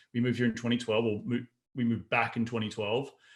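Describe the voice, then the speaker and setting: We hear a man at medium pitch. He has an Australian accent. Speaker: real estate investor. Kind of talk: podcast interview.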